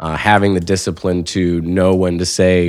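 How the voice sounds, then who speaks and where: With an American accent, a man speaks in a very deep, low voice using monotone, flat intonation. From US Midwest (South Bend, Indiana). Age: 30s. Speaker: school teacher and mayoral candidate. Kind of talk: casual interview.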